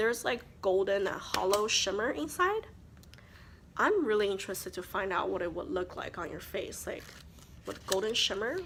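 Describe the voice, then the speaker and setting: Over noticeable background noise, a woman with a non-native accent speaks at a moderate pace and medium pitch, her intonation lively. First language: not English. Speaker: beauty vlogger. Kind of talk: casual chat. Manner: chatty.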